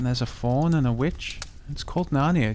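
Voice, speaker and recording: Soft-spoken and calm, a man talks in a gentle tone at a moderate pace and a medium pitch. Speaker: narrator. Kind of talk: sleep story; audiobook reading. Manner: calm, gentle.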